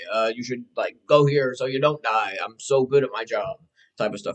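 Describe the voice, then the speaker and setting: A man with a normal speaking voice, fairly high pitch and lively intonation at a moderate pace. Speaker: YouTuber. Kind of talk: casual commentary.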